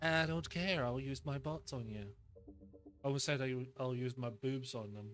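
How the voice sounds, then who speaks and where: With music in the background, a man speaks at a moderate pace and medium pitch, leaving long, frequent pauses. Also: ordinary pitch variation. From Scotland. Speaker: gaming streamer. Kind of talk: live gameplay stream chat. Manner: animated.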